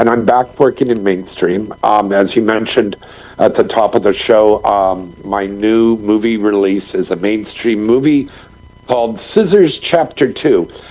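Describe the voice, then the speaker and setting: A man speaks at a fairly slow pace with ordinary pitch variation. His loudness stays very even. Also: fairly low pitch for a man. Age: 60s. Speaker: filmmaker and former adult film performer. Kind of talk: podcast interview. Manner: energetic.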